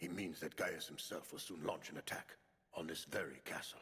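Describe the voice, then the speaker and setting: A man's cartoonish character voice, very deep and low in pitch, at a fairly quick pace. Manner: formal, articulate.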